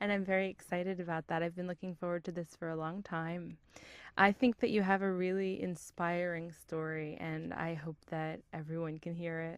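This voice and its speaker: A woman speaks at a moderate pace, her fairly low voice monotone and flat. The recording is very clean, with a silent background. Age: 20s. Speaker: interviewer. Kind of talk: oral history interview. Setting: recording booth.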